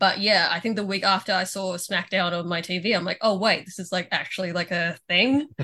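Over noticeable background noise, a woman with an Australian accent talks at a fairly quick pace and medium pitch, with fairly even intonation and hardly any pauses. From Melbourne, Australia. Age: 20s. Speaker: professional wrestler. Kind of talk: casual interview.

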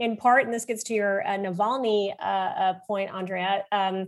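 A woman with an American accent uses a normal speaking voice at a moderate pace and fairly even intonation on a very clean recording with a silent background. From German American, dual citizen. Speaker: foreign policy think tank director. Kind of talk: policy discussion.

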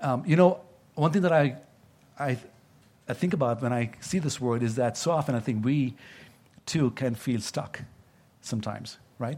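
A man with a Tamil accent speaks at a moderate pace in a medium pitch, with ordinary pitch variation and long, frequent pauses, on a very clean recording with a silent background. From India (Tamil-speaking). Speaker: pastor. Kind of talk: sermon. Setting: church. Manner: halting.

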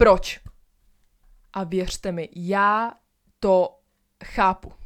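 A woman's voice at a medium pitch. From Ostrava, Czech Republic. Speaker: podcaster. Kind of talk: affirmation pep talk. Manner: warm, earnest and encouraging, repeating short affirmations directly to the listener.

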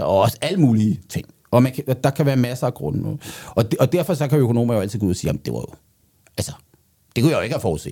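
At a very fast pace, a man speaks in a dark, mellow voice of medium pitch with vocal fry. He leaves long, frequent pauses. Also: lively intonation. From Denmark. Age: 50s. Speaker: economist, co-host. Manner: halting, repeats words; gets louder when excited.

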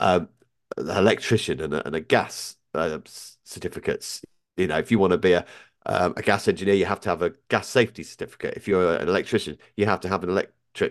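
This man has a British accent. He talks at a very fast pace. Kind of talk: casual chat.

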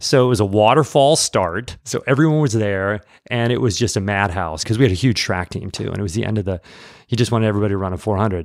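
Talking at a very fast pace, a man with a Midwestern American accent keeps a fairly low pitch with ordinary pitch variation. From US Midwest, Peoria, Illinois. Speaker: running coach and teacher. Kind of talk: casual interview.

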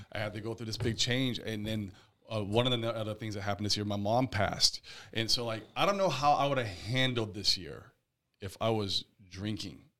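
In an American accent, the voice has a bright, sharp tone and ordinary pitch variation at a fairly quick pace. The recording is very clean, with a silent background. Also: man, medium pitch for a man. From Arizona and Las Vegas. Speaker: real estate investor. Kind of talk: casual interview.

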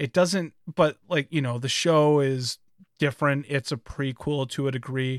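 In a very clean recording with a silent background and a dry, close sound with no echo, a man with a plain, everyday voice speaks fairly slowly at a fairly high pitch with fairly even intonation. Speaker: podcast host. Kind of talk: casual chat. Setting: live stream.

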